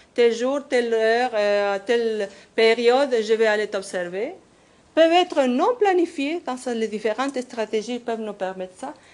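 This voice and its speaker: A woman with a non-native accent speaks at a fairly slow pace with lively intonation and a fairly high pitch. The background is quiet. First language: not French (speaking French). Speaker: professor. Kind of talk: conference workshop presentation. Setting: conference workshop. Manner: halting.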